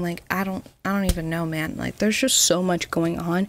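A woman's voice, dry with no echo, moves through ordinary pitch variation. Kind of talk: casual commentary. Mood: playful, opinionated. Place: home room. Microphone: studio mic.

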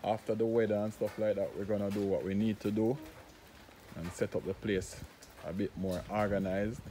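A man talks at a fairly quick pace with a Jamaican accent, his pitch fairly low. His intonation is monotone and flat, and there is light background noise. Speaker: vlogger and concrete products maker. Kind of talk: casual vlog narration. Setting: outdoors in the rain. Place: open country. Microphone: phone near.

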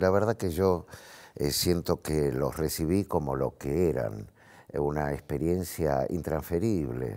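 A man's very deep, low voice with vocal fry and a dark, mellow tone, very slow pace, lively intonation and very even loudness, against a quiet background. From Argentina, Buenos Aires. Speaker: actor; talk show guest. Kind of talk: TV talk show interview. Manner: halting, many fillers. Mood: reflective, earnest. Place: studio. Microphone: lapel.

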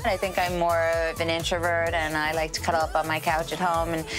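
Clear music plays behind a woman with an American accent. Her pitch is fairly low and her pace fairly quick. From Long Island, New York. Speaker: singer and actress. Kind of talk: TV interview answer. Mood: warm, animated, playful. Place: studio. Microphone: lapel.

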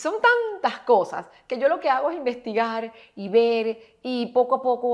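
Here a woman speaks in a Maracaibo accent at a fairly high pitch. Her pace is fairly slow, and the background is quiet. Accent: Maracaibo Venezuelan. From Venezuela, Maracaibo; Venezuela. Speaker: actress and etiquette instructor; actress, etiquette instructor. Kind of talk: tutorial. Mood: upbeat, amused. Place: home room.

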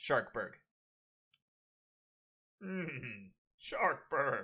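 A raspy, put-on character voice. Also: man.

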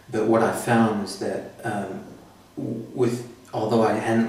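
Noticeable background noise and audible room echo surround this man's voice. He speaks with an American accent at a fairly low pitch. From United States. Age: 30s. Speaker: patient. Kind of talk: interview. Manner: hesitant, many fillers.

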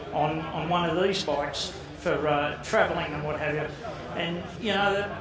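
A man talks at a moderate pace in a high voice with ordinary pitch variation. Audible room echo and noticeable background noise surround him. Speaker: speaker. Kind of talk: informal talk to an audience. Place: hall. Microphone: headset.

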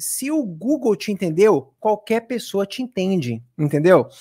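A man talks fairly slowly in an animated tone with a Brazilian accent. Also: quiet background. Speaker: English teacher. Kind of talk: tutorial. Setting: live stream. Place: home room. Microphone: studio mic.

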